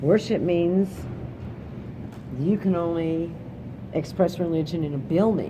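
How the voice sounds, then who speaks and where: A woman with an American accent, fairly low pitch and fairly even intonation, fairly slow with long, frequent pauses, over noticeable background noise. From Kansas. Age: 60s. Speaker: interviewee. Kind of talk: interview. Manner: casual.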